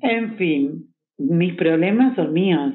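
Lively intonation comes through in a Rioplatense accent. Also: woman. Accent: Argentine Spanish (rioplatense). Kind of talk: casual chat.

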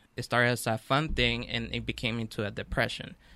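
With a very clean recording and silent background, a man at medium pitch talks at a fairly quick pace in a bright, sharp tone. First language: not English. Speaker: author and radio sound engineer. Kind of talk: radio interview. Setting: studio.

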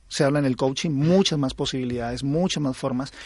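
The man has a Colombian accent and a fairly high pitch. He speaks at a moderate pace over a quiet background. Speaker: aikido instructor. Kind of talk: interview.

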